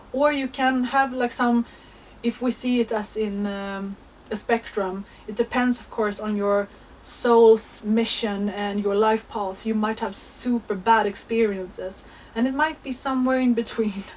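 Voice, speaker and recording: This woman has an unremarkable speaking voice, pitched fairly high. She talks at a fairly slow pace with fairly even intonation. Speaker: astrology content creator. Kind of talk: spiritual monologue.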